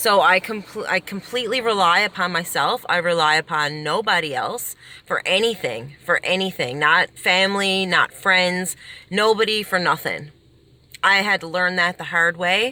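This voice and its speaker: A woman speaks loudly in an animated tone, her medium pitch carrying ordinary variation and a bright, sharp edge. She keeps a moderate pace on a very clean recording with a silent background. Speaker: self-help vlogger. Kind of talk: casual advice monologue. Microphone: poor quality recording, no microphone.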